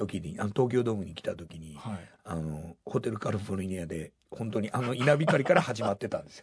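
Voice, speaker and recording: A somewhat breathy man talks with hardly any pauses, lively intonation and big swings in loudness. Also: fairly quick pace. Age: 60s. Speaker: rock band vocalist and songwriter. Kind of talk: interview.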